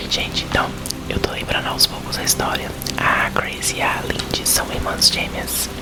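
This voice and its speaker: A man whispers over noticeable background noise. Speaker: ASMR content creator. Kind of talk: casual chatty intro and comments to the audience between reading. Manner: whispered, soft, slow.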